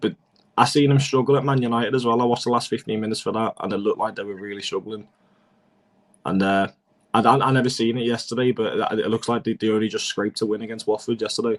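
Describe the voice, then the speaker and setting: A man with a Liverpool accent at a very fast pace, medium pitch and fairly even intonation. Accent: Scouse. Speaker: football fan pundit. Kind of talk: casual chat.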